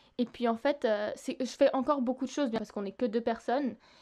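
Against a quiet background, a woman talks in a high pitch with a dark, mellow tone. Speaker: singer-songwriter. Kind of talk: interview. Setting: remote recording.

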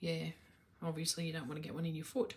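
A woman at a fairly low pitch with monotone, flat intonation. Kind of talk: casual vlog chat. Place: home room. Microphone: phone near.

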